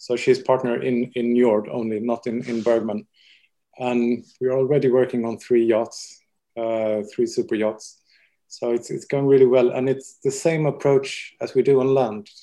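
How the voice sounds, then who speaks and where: Against a quiet background, a man speaks in a dark, mellow tone. His intonation stays fairly even. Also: medium pitch for a man, moderate pace. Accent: Swedish. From Sweden. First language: Swedish. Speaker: interior designer. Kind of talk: casual interview.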